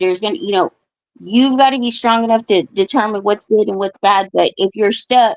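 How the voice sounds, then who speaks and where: A woman speaks in a normal speaking voice at a fairly high pitch. Her intonation is lively, and the sound is dry and close with no echo. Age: 40s. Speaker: caller on live stream open forum. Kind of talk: casual chat.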